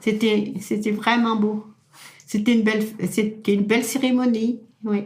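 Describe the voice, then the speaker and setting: A somewhat breathy woman at a fairly slow pace, with long, frequent pauses, monotone, flat intonation and very even loudness. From France, Loire-Atlantique (Pays de Retz). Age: 80s+. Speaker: elderly local resident. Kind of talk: oral history interview. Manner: halting, repetitive.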